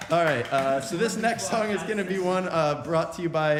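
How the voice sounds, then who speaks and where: A man with an American accent, noticeable background noise and audible room echo. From Virginia, Richmond. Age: 20s. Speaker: a cappella singer. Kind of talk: stage banter between songs at a virtual concert. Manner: halting, many 'uh' fillers.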